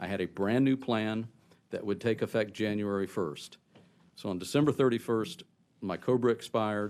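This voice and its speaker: A man talks in an ordinary speaking voice at a moderate pace. His pitch is fairly low and his intonation fairly even. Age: 60s. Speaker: cancer patient testifying at hearing. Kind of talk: testimony.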